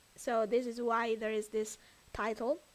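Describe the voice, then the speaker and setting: A woman talks at a fairly slow pace with an Italian accent. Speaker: streamer. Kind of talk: casual chat. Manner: loud.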